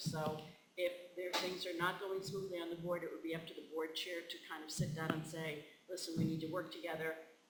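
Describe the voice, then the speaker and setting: A man with a high pitch at a fairly quick pace, amid noticeable background noise and audible room echo. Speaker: board trainer, former superintendent. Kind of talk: training presentation. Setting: school board meeting. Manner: fast; halting, many fillers.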